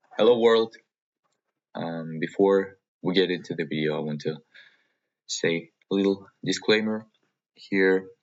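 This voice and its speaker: With a Russian accent, a man with a very deep, low pitch speaks at a fairly slow pace, leaving long, frequent pauses. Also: ordinary pitch variation. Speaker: vlogger. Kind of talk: personal vlog monologue. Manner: halting, many fillers and pauses.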